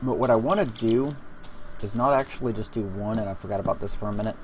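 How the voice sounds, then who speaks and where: A man at a medium pitch races along at a very fast pace with ordinary pitch variation over noticeable background noise. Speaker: video game let's play commentator. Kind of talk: gameplay commentary. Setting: home, people asleep nearby. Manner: quiet, talking softly.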